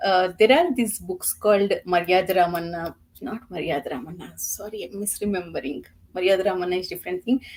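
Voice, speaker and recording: Medium pitch for a woman with a Telugu accent, ordinary pitch variation, a fairly quick pace and big swings in loudness. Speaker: book reviewer. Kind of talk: casual chat.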